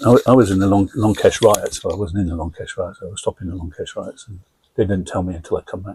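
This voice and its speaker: A man's loudness swings widely. He talks at a very fast pace. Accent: English. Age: 70s. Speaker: army veteran, identical twin. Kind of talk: casual family interview.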